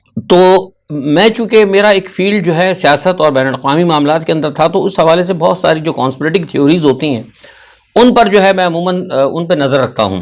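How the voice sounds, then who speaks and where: With a high pitch and ordinary variation in it, a man speaks at a moderate pace. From Pakistan. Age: 60s. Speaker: political commentator. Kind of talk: news analysis monologue. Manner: halting, with frequent filler sounds.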